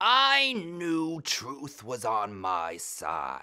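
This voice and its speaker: The speaker uses a put-on character voice that is raspy and delivered at a very slow pace. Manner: solemn, self-righteous, then pleading.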